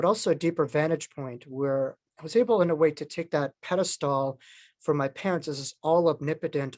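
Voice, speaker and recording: In an American accent, a man talks at a fairly quick pace and a fairly high pitch with ordinary pitch variation, recorded with a dry, close sound with no echo against a quiet background. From New York. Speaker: near-death experiencer and author. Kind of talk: interview talk.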